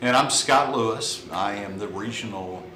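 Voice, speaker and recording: A man speaks at a fairly low pitch with an American accent. There is audible room echo and noticeable background noise. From Texas, Burleson near Fort Worth. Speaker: cigar sales representative. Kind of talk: casual chat.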